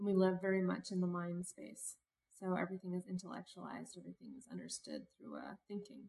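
Talking very fast with an American accent, a woman lets her loudness swing widely. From Cincinnati, Ohio, US Midwest. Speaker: activist and leadership consultant. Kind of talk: casual interview.

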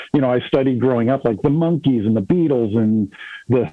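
A man uses a normal speaking voice with a Canadian accent. His medium pitch shows ordinary pitch variation at a moderate pace. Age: 40s. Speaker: musician. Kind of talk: casual chat.

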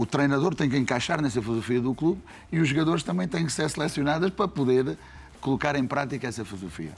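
With a European Portuguese accent, a man speaks very fast in a fairly high pitch with lively intonation. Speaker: football coach. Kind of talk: casual chat.

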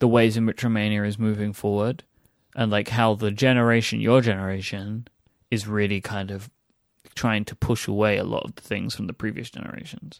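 A man with a fairly low voice and an English accent, moderate pace, monotone and flat intonation, on a very clean recording with a silent background. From England. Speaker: podcast host. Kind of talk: casual chat. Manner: playful.

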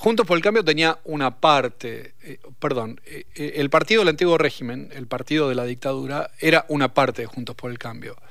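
A man with an unremarkable speaking voice, pitched fairly high, talks at a moderate pace. His loudness swings widely and his intonation is lively. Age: 50s. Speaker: sociologist, professor. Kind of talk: radio interview. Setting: radio studio.

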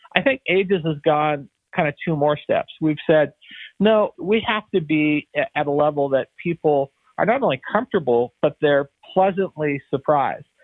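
Speaking at a moderate pace with very even loudness, a man uses an ordinary speaking voice, fairly high in pitch, with ordinary pitch variation. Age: 60s. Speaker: senior living company founder and CEO. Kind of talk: interview.

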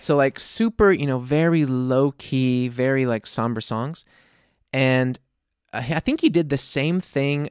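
In a plain, everyday voice, a man with an American accent talks at a fairly slow pace with medium pitch and ordinary pitch variation. The sound is dry and close with no echo, on a very clean recording with a silent background. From US South, New Orleans. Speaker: indie-pop singer-songwriter. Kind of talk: casual chat.

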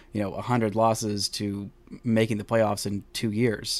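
The man talks fairly slowly, his pitch sitting in the middle range. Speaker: podcast host. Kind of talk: sports podcast commentary, solo monologue. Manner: animated, conversational.

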